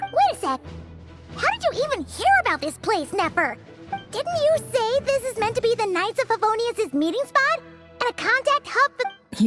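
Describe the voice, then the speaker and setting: An extremely high, cartoonish character voice moves at a moderate pace over loud music in the background. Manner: lively, outspoken.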